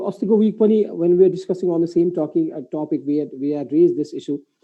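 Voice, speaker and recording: A man with a Nepali accent speaks at a very fast pace. His pitch is high and his intonation lively. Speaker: moderator of live business webinar. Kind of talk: live panel discussion.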